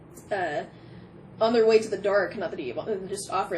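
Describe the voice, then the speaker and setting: Noticeable background noise sits under a woman speaking at a moderate pace with a fairly high pitch. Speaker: tarot reader. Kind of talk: pick-a-card tarot reading. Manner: animated.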